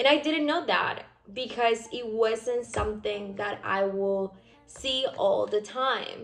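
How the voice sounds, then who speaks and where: With a Spanish accent, a woman talks at a very slow pace in a fairly high pitch, with ordinary pitch variation and noticeable background noise. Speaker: physician assistant student, vlogger. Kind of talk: casual vlog reflection. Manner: hesitant, filler-heavy.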